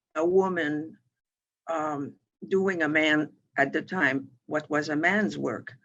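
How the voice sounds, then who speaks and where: A very slow-paced woman's voice with a French Canadian accent and ordinary pitch variation. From Quebec, Montreal. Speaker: financial firm president. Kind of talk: interview. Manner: halting, with many fillers and restarts.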